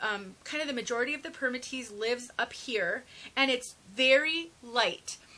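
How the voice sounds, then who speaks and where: Raising and projecting her voice, a woman speaks at a high pitch with ordinary pitch variation. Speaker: wig reviewer. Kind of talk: product review tutorial. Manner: fast.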